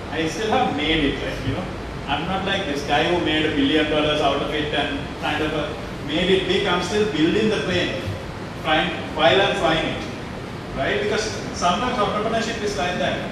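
A man speaks at a moderate pace with ordinary pitch variation. Strong room echo and noticeable background noise fill the recording. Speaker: speaker. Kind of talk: motivational talk to students. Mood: candid, self-deprecating. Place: hall.

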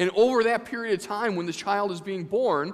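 The pitch moves with ordinary variation. The background is quiet. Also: man. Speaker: vicar delivering a sermon. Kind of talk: church sermon. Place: church.

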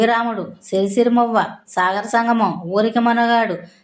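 A woman's fairly high, fairly evenly intoned voice with audible room echo. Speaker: YouTuber on old films. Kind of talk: narration about film star. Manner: halting.

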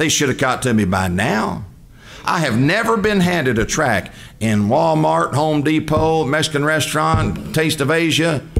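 A man with an American accent speaks at a moderate pace. His loudness stays very even throughout. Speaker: preacher. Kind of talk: sermon. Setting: church. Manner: animated. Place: church. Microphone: podium.

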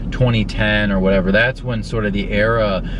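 A man at a moderate pace, dry sound with no echo and noticeable background noise. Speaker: car vlogger. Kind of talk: casual vlog chat. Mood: relaxed, enthusiastic. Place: car. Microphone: phone near.

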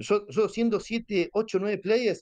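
A man with a Rioplatense accent. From Buenos Aires, Argentina. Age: 40s. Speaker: online gamer, guild leader. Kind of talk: casual interview.

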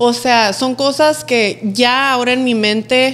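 Her voice high, a woman speaks with monotone, flat intonation. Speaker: influencer, podcast guest; podcast guest. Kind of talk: casual chat, interview. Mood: relaxed, smiling. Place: studio. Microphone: studio mic.

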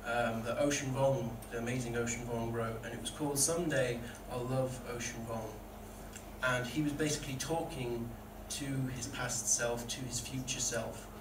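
A man at medium pitch and moderate pace, with monotone, flat intonation and noticeable background noise. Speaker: poet. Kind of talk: spoken word poetry performance, read aloud from the page. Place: stage.

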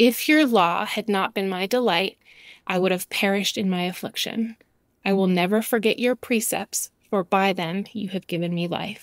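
A normal speaking voice goes at a moderate pace with ordinary pitch variation, in a dry, close sound with no echo on a very clean recording with a silent background. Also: woman, medium pitch for a woman. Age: 40s. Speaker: podcast host, Bible teacher. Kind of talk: devotional podcast monologue.

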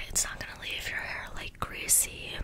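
A soft-spoken woman whispers at a moderate pace over noticeable background noise. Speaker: ASMR creator. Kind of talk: soft-spoken ASMR role play. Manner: soft close-mic ASMR whisper. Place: home room. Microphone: studio mic.

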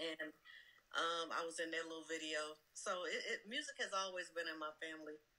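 With an American accent, a woman speaks at a fairly quick pace and fairly low pitch, her bright, sharp tone held to fairly even intonation. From US South. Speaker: music industry executive. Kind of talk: casual interview. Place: home room.

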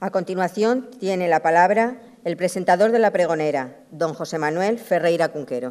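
The speech moves at a moderate pace with hardly any pauses over a quiet background. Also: woman. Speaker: event announcer. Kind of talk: formal announcements. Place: stage. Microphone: podium.

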